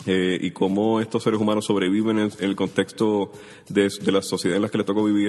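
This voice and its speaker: A man speaks at a fairly quick pace in a fairly low pitch, with a monotone, flat intonation and very even loudness over a quiet background. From Puerto Rico, Caimito (San Juan). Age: 30s. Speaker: writer. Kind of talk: interview.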